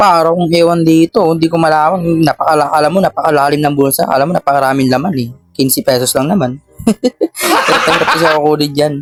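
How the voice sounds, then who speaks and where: Music plays in the background as a man speaks at a very fast pace, fairly high in pitch, with fairly even intonation and very even loudness. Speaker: vlogger. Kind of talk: casual vlog. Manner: casual, chatty.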